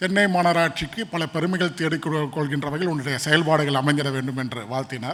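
This man has a plain, everyday voice. His pitch sits fairly high, with ordinary variation. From Chennai, Saidapet. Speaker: deputy mayor, politician. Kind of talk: conference interview on stage.

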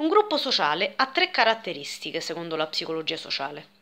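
Her tone bright and sharp, a woman speaks with very wide pitch swings. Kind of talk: explanatory talk, lecture-like vlog. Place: home room. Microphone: phone near.

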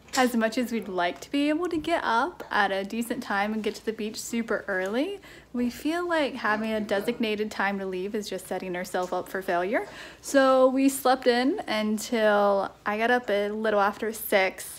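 Pitch varies in an ordinary way, and the pace is moderate. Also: woman. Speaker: parent vlogger. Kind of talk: casual vlog chat. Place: home room. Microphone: phone near.

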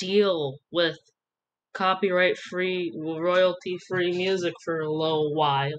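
A woman's voice over light background noise. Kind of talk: casual voice-over commentary.

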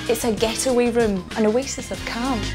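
Moderate-paced speech from a woman over clear background music. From Scotland. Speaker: TV presenter. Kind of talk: home makeover show presenting. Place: home room.

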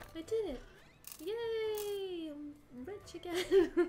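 A soft-spoken woman with a British accent speaks very slowly at an extremely high pitch, her tone dark and mellow. Light background noise can be heard. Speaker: streamer. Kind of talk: game livestream commentary and reading dialogue aloud. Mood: cheerful, playful. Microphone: studio mic.

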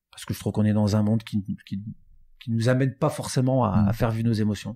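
Fairly low in pitch with a dark, mellow tone and fairly even intonation, a man is heard on a very clean recording with a silent background. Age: 50s. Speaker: recruitment firm founder. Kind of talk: interview.

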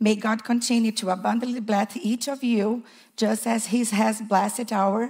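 A woman speaks at a fairly slow pace in a fairly high, somewhat breathy voice. Her intonation is flat and monotone over a quiet background. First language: not English. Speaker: preschool teacher. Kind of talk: testimony. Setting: church. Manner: nervous. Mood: warm, grateful. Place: church. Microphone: handheld.

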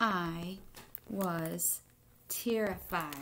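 Audible room echo surrounds a woman speaking with lively intonation.

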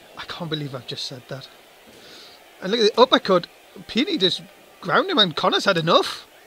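A man's high, raised, projected voice, fairly quick, with very wide pitch swings, big shifts in loudness, long, frequent pauses, and a dry, close sound with no echo. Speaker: wrestling commentator. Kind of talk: live wrestling commentary. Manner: animated, play-by-play, excitable.

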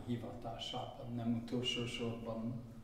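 A very slow male voice amid audible room echo. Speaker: book presenter; presenter. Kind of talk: speech at book launch. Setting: event with audience. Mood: solemn, grateful. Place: hall. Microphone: podium.

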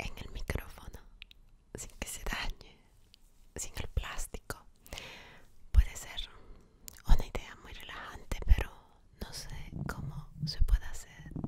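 Whispering at a very slow pace, a woman leaves long, frequent pauses, her loudness swinging widely. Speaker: ASMR creator. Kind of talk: soft-spoken ASMR chat. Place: home room. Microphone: studio mic.

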